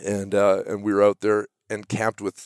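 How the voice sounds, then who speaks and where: An ordinary speaking voice from a man, fairly low in pitch and at a fairly quick pace, in a very clean recording with a silent background and a dry, close sound with no echo. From Canada, central British Columbia. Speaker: sawmill owner. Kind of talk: casual interview.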